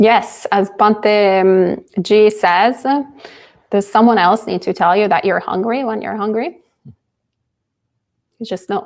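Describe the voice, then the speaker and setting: A woman with a non-native accent, fairly high in pitch, at a very slow pace with long, frequent pauses and fairly even intonation. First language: not English. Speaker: Buddhist nun teaching. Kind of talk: dharma talk and Q&A.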